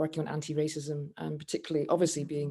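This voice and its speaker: With a Scottish accent, a woman speaks in a very deep, low pitch, her tone dark and mellow and her intonation monotone and flat. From Scotland. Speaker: campaigner. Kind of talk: panel discussion. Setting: video call. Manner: halting, many fillers.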